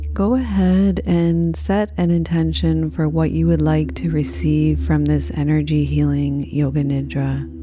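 Over noticeable background noise, a woman with a very deep, low pitch speaks at a fairly slow pace with hardly any pauses, her monotone, flat intonation and very even loudness carrying a soothing, gentle tone. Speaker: yoga nidra teacher. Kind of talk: guided meditation. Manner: slow, soothing, gentle, calm; soft-spoken, unhurried, with long pauses.

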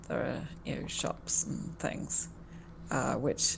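The speaker has a southern English accent. The pace is moderate. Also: woman. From England, Portsmouth. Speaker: journalist, news site co-founder. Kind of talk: interview.

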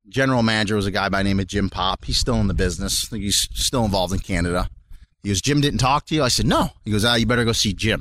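Speaking very fast with very even loudness, a man with an American accent has a fairly low pitch. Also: ordinary pitch variation. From Rochester, New York. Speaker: former football player and police detective. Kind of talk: casual interview.

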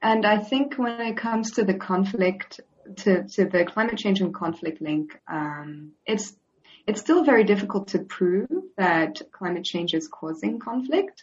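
Her pitch sits at a medium level, somewhat breathy. The woman speaks at a fairly slow pace. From Switzerland. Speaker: data analyst on displacement. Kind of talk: interview.

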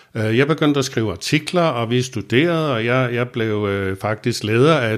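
A man's medium-pitched voice at a fairly slow pace, with ordinary pitch variation, on a very clean recording over a silent background. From Copenhagen, Vesterbro. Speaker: recovering alcoholic telling his story. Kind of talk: personal testimony interview. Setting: studio in Copenhagen. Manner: hesitant with many fillers and repetitions.

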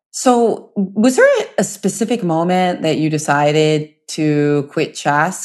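A woman has an ordinary speaking voice, pitched fairly low with ordinary pitch variation. The background is quiet. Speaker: podcast host. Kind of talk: casual interview chat.

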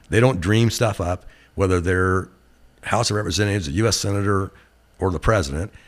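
A man's very deep, low voice with an American accent at a fairly quick pace, in a very clean recording with a silent background. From Glendale, Oregon. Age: 60s. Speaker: company CEO. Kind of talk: casual interview conversation. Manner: relaxed, hesitant with fillers.

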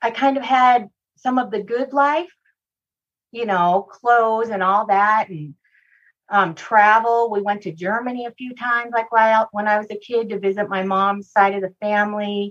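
A woman speaks in a fairly high pitch at a fairly slow pace with ordinary pitch variation. It is a normal speaking voice. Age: 50s. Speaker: abuse survivor and speaker. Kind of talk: interview testimony.

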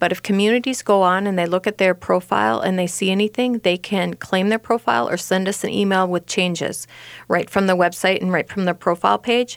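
A woman with an Upper Midwest accent at a fairly quick pace, medium pitch and ordinary pitch variation, in a dry, close sound with no echo on a very clean recording with a silent background. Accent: Upper Midwest American. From Rochester, Minnesota. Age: 50s. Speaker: senior housing website owner. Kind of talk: radio interview.

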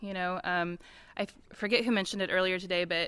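The tone is bright and sharp, with fairly even intonation at a fairly quick pace. The recording is very clean, with a silent background. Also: woman. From US Midwest, Missouri. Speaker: nonprofit farm coalition staff. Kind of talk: panel discussion. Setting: conference panel with audience.

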